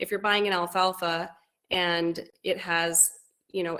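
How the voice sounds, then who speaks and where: A woman speaks at a fairly low pitch with fairly even intonation. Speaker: goat breeder. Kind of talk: webinar talk. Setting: video call. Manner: fast.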